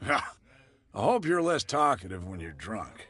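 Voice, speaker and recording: A man's raspy, put-on character voice, medium in pitch with very wide pitch swings, at a moderate pace against a quiet background. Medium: video game. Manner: gruff, guarded.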